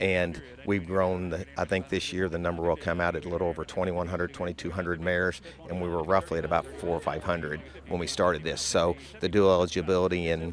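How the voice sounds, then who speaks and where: Against noticeable background noise, a man speaks at a very fast pace. His pitch is very deep and low, and his intonation is monotone and flat. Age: 60s. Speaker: horse farm co-owner. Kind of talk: interview.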